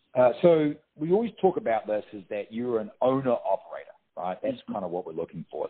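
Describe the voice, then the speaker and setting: At a moderate pace, a man speaks with a New Zealand accent. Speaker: staffing franchise operations manager. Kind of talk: interview answer. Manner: casual, conversational.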